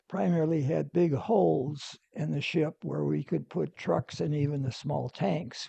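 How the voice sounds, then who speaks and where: A man's fairly high, somewhat breathy voice, dark and mellow in tone, with lively intonation and a dry, close sound with no echo. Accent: American. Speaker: navy veteran. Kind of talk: interview answer.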